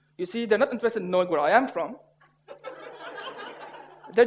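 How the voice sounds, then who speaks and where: A man with a non-native accent talks at a very fast pace. His pitch is extremely high, and his intonation is lively. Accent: noticeable foreign. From Syria. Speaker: public speaker. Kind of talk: humorous contest speech.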